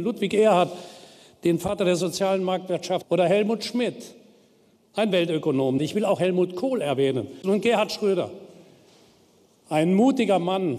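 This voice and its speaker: A man speaks at a moderate pace and a high pitch, with ordinary pitch variation and long, frequent pauses. His tone is dark and mellow, and his loudness stays very even. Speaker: politician. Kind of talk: political speech. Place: hall. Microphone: podium.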